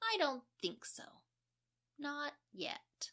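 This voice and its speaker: In a put-on character voice, a woman speaks at a high pitch with very wide pitch swings. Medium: read story. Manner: breezy, nonchalant.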